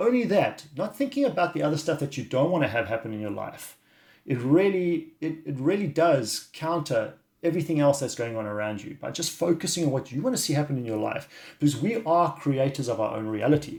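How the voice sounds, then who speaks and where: A man talks somewhat breathily at a fairly quick pace and a fairly high pitch. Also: lively intonation. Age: 50s. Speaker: wellness coach. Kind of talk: video monologue. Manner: halting.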